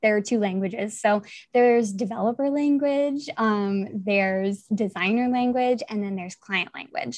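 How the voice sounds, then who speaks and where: A woman's fairly high voice, an unremarkable speaking voice, at a moderate pace with ordinary pitch variation. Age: 20s. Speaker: WordPress projects manager. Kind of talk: casual chat.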